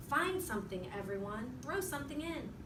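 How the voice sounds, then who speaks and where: A woman uses a put-on character voice at high pitch and a moderate pace. Loud background noise fills the recording. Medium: read story.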